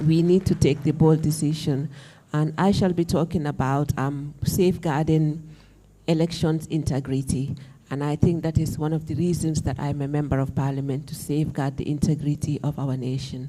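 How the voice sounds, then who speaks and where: A woman speaks at a moderate pace in a very deep, low pitch. Her tone is dark and mellow, and her intonation stays flat and monotone. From the Gambia. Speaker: member of parliament. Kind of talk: conference self-introduction.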